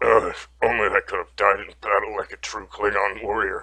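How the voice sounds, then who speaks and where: A man's raspy, put-on character voice. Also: moderate pace, big swings in loudness. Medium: read story.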